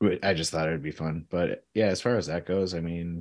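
In a very clean recording with a silent background, a man with a Michigan accent speaks. His pitch is very deep and low, and his pace is moderate. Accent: Midwestern American (Michigan). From Michigan (Clarkston, Detroit area). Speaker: veterinarian. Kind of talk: casual chat.

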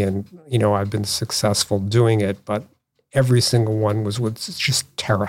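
A man with an ordinary speaking voice and a fairly low pitch. His intonation stays fairly even. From US Northeast, Boston area (Newton, Massachusetts). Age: 60s. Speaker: artist and designer. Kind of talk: casual chat.

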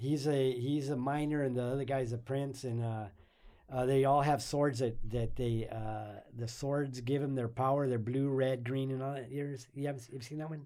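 A man's medium-pitched voice has a dark, mellow tone. He speaks at a fairly quick pace in a monotone, flat intonation. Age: 60s. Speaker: guest, anime fan and grandfather. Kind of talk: casual chat. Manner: halting.

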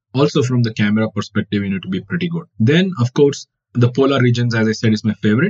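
A man with a Kannada accent, medium pitch and ordinary pitch variation. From India, Karnataka. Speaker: wildlife photographer. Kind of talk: interview.

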